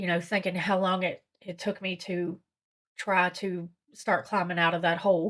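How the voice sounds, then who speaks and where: A woman at a medium pitch and moderate pace with monotone, flat intonation. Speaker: recovery vlogger. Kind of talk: personal vlog. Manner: halting, stuttering.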